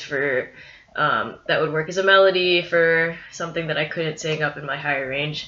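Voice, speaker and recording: A woman talks as background noise is clearly noticeable. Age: 20s. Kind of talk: video diary update. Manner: hesitant, many fillers.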